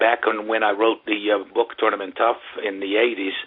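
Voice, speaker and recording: There is noticeable background noise. Through it, a man speaks at a fairly slow pace. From Brazil, São Paulo. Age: 60s. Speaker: tennis coach. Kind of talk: interview. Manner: halting, many fillers.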